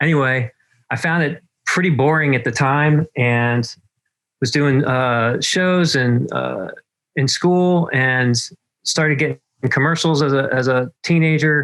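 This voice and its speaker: Speaking in an American accent at a fairly slow pace, a man with a fairly high pitch keeps a very even loudness, ordinary pitch variation and long, frequent pauses. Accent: Southern US accent coming back. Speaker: marketing consultant, former actor and writer. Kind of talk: interview. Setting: video call from his back porch.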